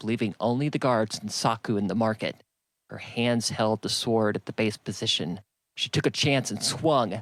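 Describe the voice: A quiet background behind plain reading aloud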